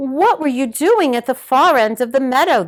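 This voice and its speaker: At a moderate pace, a female-sounding voice with a high pitch performs a put-on character voice. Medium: read story.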